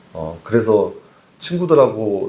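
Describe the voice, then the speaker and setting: A man speaks with audible room echo. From Seoul, childhood in Gangwon (Taebaek) until age 9. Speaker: pastor. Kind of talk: sermon. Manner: hesitant with frequent fillers.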